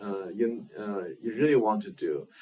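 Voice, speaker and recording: A man speaks at a medium pitch. He has a Chinese accent. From China. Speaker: filmmaker. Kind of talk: interview. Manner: halting, many fillers.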